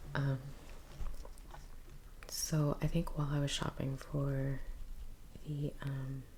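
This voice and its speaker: Very slowly and in a flat monotone, a woman speaks at a very deep, low pitch, leaving long, frequent pauses. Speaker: painter, ASMR creator. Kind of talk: ASMR soft-spoken rambling while painting. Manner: soft-spoken.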